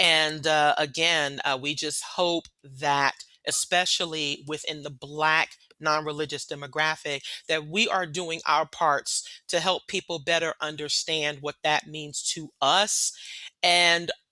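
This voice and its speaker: Speaking with an American accent, a woman uses a very deep, low pitch and a bright, sharp tone. Her delivery is fairly slow and monotone, with a flat intonation and a dry, close sound with no echo. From New York City. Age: 40s. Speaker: leader of a secular organization. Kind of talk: panel talk.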